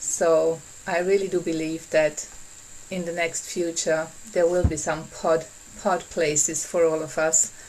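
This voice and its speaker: At a fairly slow pace, the speaker talks with a non-native accent over noticeable background noise. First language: not English. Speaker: workshop facilitator. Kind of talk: online workshop talk. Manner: halting.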